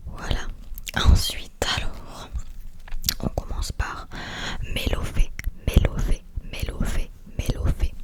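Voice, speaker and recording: A woman whispers in a relaxed tone at a very slow pace. Long, frequent pauses break her speech, and there is noticeable background noise. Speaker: ASMR artist. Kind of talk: ASMR card-opening talk to camera. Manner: soft, repetitive, relaxed.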